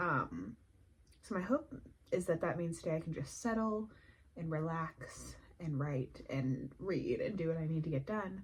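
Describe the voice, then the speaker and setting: Soft-spoken and somewhat breathy, a woman with a fairly low pitch speaks at a fairly slow pace with lively intonation. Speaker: indie author vlogger. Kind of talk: casual vlog. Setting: at home.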